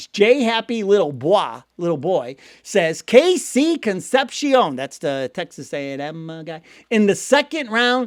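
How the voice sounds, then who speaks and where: Recorded very cleanly against a silent background, the sound is dry and close with no echo. A man with a Cleveland accent talks in an animated tone, his pitch swinging very widely. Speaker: sports news channel host. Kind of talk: casual commentary and viewer comment reading. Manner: animated, conversational.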